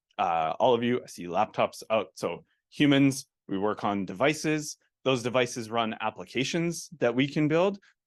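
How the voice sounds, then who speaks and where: Against a quiet background with a dry, close sound and no echo, a man with a Canadian accent and a normal speaking voice talks at a medium pitch and a moderate pace with lively intonation. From Calgary, western Canada. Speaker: technology executive and conference speaker. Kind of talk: conference talk. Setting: stage with audience. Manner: casual, many fillers.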